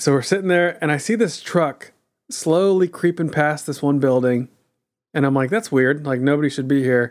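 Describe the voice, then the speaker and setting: In a very clean recording with a silent background, a man with an unremarkable speaking voice and an American accent speaks at a moderate pace, his fairly high pitch showing ordinary variation. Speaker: podcast co-host. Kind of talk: casual chat.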